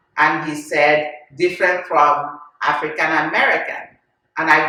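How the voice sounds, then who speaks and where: With a Nigerian accent, a woman talks at a fairly slow pace. Her pitch is very deep and low, and audible room echo surrounds her. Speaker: podcast host. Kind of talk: casual chat.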